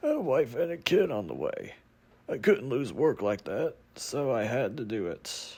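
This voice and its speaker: A man puts on a raspy character voice at a fairly high pitch and moderate pace. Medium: short film. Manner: shaken, bitter, swearing.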